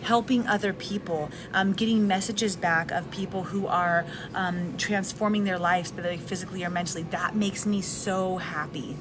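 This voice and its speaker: A soft-spoken woman at a medium pitch, with fairly even intonation, a moderate pace and music in the background. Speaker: live video host, wellness and personal development content creator. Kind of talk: casual live talk to camera. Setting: recorded in a restaurant with background noise. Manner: soft-spoken, conversational.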